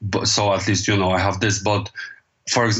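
This man talks at a fairly low pitch. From Poland. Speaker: DJ and label owner. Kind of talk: casual interview. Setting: remote call from home.

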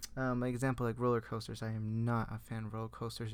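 A man talking at a very fast pace. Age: 20s. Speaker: podcast host. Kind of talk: casual monologue. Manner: halting.

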